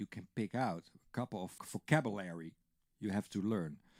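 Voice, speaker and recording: A Dutch accent in a dry, close sound with no echo. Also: man. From Netherlands. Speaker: drum teacher. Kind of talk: tutorial. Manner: casual, conversational with fillers.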